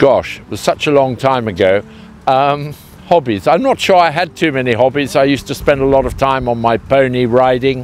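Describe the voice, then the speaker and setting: Speaking at a moderate pace with a southern English accent, a man of medium pitch shows ordinary pitch variation and big swings in loudness. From southern England (Hertfordshire). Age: 60s. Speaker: truffle grower, company co-founder. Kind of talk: interview. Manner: hesitant, many fillers.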